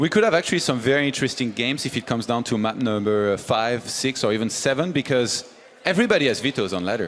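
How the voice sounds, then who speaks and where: Over music in the background, someone talks at a very fast pace with lively intonation. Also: man, medium pitch for a man. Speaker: esports analyst. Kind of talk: esports analysis panel.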